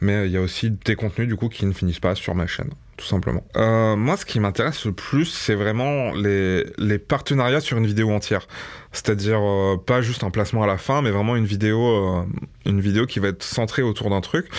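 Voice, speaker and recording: A man with a normal speaking voice, fairly low in pitch, at a moderate pace with ordinary pitch variation against a quiet background. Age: 30s. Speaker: YouTuber. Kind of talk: testimony.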